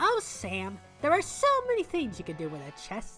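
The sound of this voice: A female-sounding put-on character voice speaks at a moderate pace, with faint music in the background.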